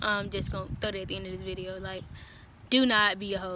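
A woman's voice comes through a dry sound with no echo. Noticeable background noise is present. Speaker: vlogger giving military training advice. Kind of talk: casual vlog chat. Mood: relaxed, frank, joking. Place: street. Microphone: phone near.

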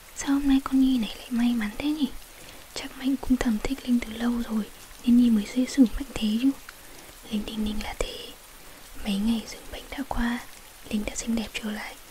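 A soft-spoken woman at a high pitch and fairly quick pace, with monotone, flat intonation, big swings in loudness, long, frequent pauses and noticeable background noise. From Vietnam. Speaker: ASMR story reader. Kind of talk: ASMR bedtime story reading. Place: home room. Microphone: studio mic.

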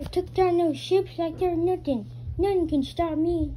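Over clear background noise, a put-on character voice at an extremely high pitch moves at a moderate pace. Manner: heroic, confident.

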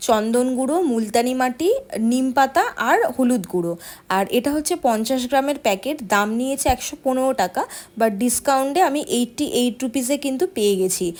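This woman's intonation is lively. Her voice sits high. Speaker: vlogger. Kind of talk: casual vlog narration. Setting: outdoors, rooftop and on an outing.

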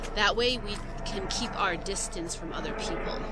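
The dry sound with no echo carries a fairly slow pace of speech beneath noticeable background noise. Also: woman. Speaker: English teacher. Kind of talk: casual vlog chat. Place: forest. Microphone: phone near.

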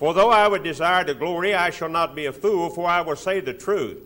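Here is a man with a high pitch. His pitch variation is ordinary. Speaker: preacher. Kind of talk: sermon. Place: hall. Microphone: podium.

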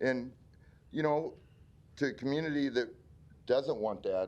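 A man speaks with a Midwestern American accent. His pace is moderate. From Omaha, Nebraska. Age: 60s. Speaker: community member speaking at public hearing. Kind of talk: public hearing testimony. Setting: city planning board meeting. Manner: halting.

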